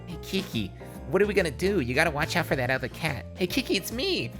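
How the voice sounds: A nasal, put-on character voice rattles along at a very fast pace. Loud music plays in the background.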